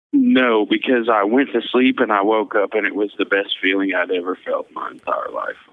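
A man with an American accent at a moderate pace, hardly any pauses, and noticeable background noise. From Missouri. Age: 20s. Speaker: convicted murderer. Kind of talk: interview testimony.

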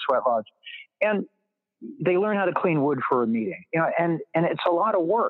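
This man has an ordinary speaking voice. His delivery is fairly quick, with lively intonation. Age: 50s. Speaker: author and literature professor. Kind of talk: casual interview conversation.

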